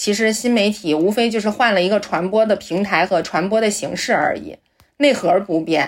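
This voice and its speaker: With lively intonation, a woman speaks at a moderate pace. Her pitch is fairly high. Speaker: journalist. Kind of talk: casual chat. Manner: halting.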